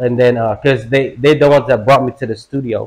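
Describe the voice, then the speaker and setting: Here a man talks with a Filipino accent at a medium pitch. His pace is fairly quick and his intonation fairly even. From Philippines. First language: Tagalog. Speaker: rapper. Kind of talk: casual interview. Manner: halting, many fillers.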